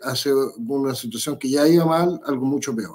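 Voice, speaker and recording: Over a quiet background, a man with a dark, mellow tone speaks at a fairly slow pace with fairly even intonation. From Chile. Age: 50s. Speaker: political candidate; candidate. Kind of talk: interview. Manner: halting. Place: home room.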